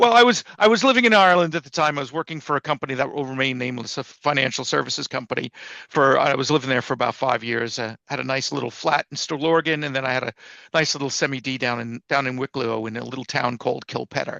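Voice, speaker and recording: In a dry, close sound with no echo and a quiet background, a man with an American accent speaks very fast at a medium pitch, his tone bright and sharp and his pitch variation ordinary. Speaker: publisher and writer. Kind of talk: casual chat. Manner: repetitive, halting.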